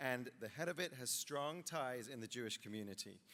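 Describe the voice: This man's medium-pitched voice has a bright, sharp tone, ordinary pitch variation and a fairly quick pace.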